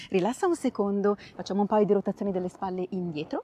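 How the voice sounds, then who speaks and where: This woman's voice has a dark, mellow tone and a dry sound with no echo. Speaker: pilates instructor. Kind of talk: exercise class instructions.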